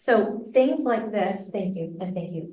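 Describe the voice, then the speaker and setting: The woman's pitch sits in the medium range. She talks at a very slow pace, with audible room echo. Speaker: music education professor. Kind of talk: interactive workshop lecture. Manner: animated.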